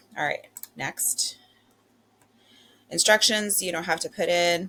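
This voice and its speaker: Words arrive fairly slowly while noticeable noise fills the background. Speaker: wellness coach. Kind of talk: tutorial. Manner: casual, filler-heavy.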